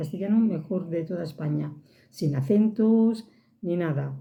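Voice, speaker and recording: A woman speaks at a fairly low pitch with a Catalan accent, sounding somewhat breathy. Audible room echo surrounds her voice. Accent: Catalan accent, regained. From Catalonia. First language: Catalan (speaking Spanish). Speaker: vlogger. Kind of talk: casual monologue to camera.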